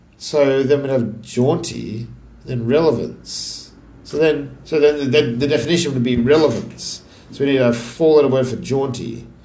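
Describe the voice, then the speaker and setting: Noticeable background noise and audible room echo surround this man's voice. He speaks at a moderate pace in an Australian accent, with fairly even intonation. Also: medium pitch for a man. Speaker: crossword solver. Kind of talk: casual think-aloud puzzle solving. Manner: halting, thinking aloud.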